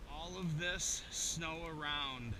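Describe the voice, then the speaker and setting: A man speaks in a raised, projected voice. Room echo is audible around him. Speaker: travel vlogger. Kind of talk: casual vlog. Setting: outdoors. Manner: loud.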